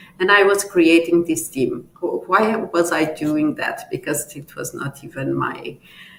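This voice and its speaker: A woman speaks at a fairly slow pace. Noticeable background noise runs beneath her. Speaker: tech company leader, conference speaker. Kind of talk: conference talk. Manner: halting, many fillers.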